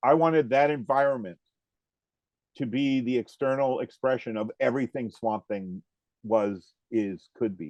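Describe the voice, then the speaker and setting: A man with an American accent speaks in an ordinary speaking voice at a moderate pace. His pitch variation is ordinary, and the background is quiet. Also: medium pitch for a man. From US Northeast (northern Vermont). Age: 60s. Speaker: comic artist. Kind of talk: interview.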